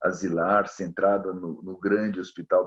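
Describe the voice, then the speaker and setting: A man's very deep, low voice. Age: 60s. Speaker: psychiatrist and professor. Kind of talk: interview conversation. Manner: halting, many repetitions and fillers.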